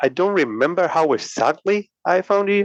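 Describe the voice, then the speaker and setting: With a Spanish accent, the speech moves at a fairly slow pace in a dry, close sound with no echo. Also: man. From Puerto Rico. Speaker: podcaster. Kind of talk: casual chat. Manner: halting.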